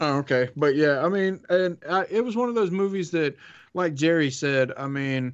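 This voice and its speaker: The speaker has a Southern US accent and talks at a moderate pace. Pitch varies in an ordinary way. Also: man. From US South. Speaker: podcast co-host. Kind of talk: casual chat.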